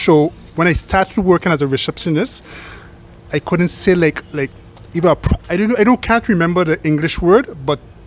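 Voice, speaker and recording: A high-pitched man amid noticeable background noise. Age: young. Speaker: hotel receptionist. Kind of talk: casual interview.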